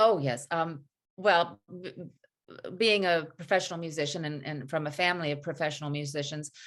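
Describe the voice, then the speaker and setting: With a Southern accent, a woman talks at a moderate pace in a very deep, low voice, her loudness swinging widely against a quiet background. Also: ordinary pitch variation. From US South (North Carolina, Tennessee). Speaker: actress and singer. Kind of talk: interview.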